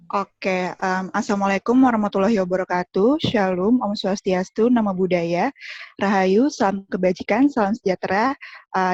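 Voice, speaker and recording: A woman of medium pitch at a moderate pace, with ordinary pitch variation. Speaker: student union chair. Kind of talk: formal welcome speech. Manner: formal, with hesitations.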